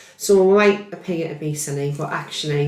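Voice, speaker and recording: Noticeable background noise and audible room echo surround the recording. A woman speaks at a fairly low pitch with fairly even intonation. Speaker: neurophysiology healthcare scientist. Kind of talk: podcast interview. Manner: loud.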